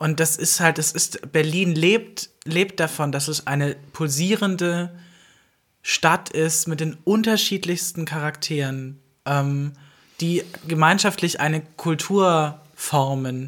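A woman talks at a very slow pace with a very deep, low pitch and ordinary pitch variation. The recording is very clean, and the background is silent. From Alpine village region. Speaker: podcast co-host. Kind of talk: casual chat.

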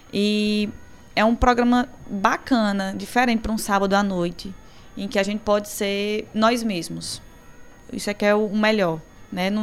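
Speaking at a fairly slow pace, a woman keeps a fairly even intonation at a fairly high pitch. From Crato, Ceará, Brazil (northeast). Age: 30s. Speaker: journalist. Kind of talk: live radio talk show chat. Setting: radio studio.

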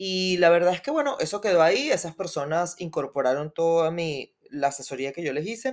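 An unremarkable speaking voice from a woman, fairly low in pitch, with lively intonation, a fairly quick pace and hardly any pauses. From Venezuela. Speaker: podcast co-host, entrepreneur. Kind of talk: interview, casual chat.

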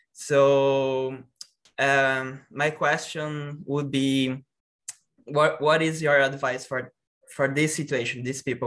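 A man with a Portuguese accent speaks in a fairly high voice with a bright, sharp tone. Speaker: interpreter. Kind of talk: question and interpreting.

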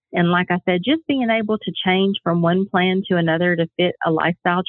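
A woman speaks at a medium pitch. She has a normal speaking voice. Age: 40s. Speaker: health coach. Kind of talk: casual interview. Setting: phone call.

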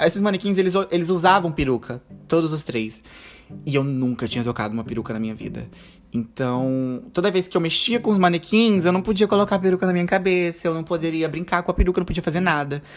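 Music plays behind a man talking at a very fast pace. His high-pitched voice is animated, with lively intonation. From Brazil, interior of Rondônia (Ariquemes). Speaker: podcast host and drag queen. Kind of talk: casual solo monologue. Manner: animated, frequent laughter.

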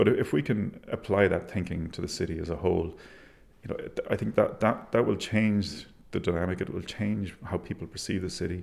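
In an Irish accent, a man speaks at a fairly quick pace and fairly low pitch, with ordinary pitch variation. The recording is very clean, with a silent background. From Ireland, Galway. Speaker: architect. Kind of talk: interview. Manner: halting.

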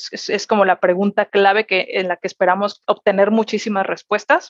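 A woman at medium pitch with fairly even intonation and a moderate pace, in a dry, close sound with no echo. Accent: Mexican. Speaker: corporate executive. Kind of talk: interview. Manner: hesitant, many fillers and repetitions.

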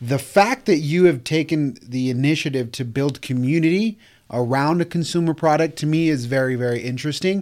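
A man with a plain, everyday voice talks at a moderate pace and fairly high pitch, with ordinary pitch variation. The recording is very clean, with a silent background. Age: 30s. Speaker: podcast host, real estate agency owner. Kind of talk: casual interview. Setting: studio.

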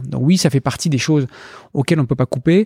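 Very fast speech from a man with a dark, mellow tone, in a very clean recording with a silent background and a dry, close sound with no echo. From France, Brittany (Brest). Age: 40s. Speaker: investment fund founder. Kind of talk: interview.

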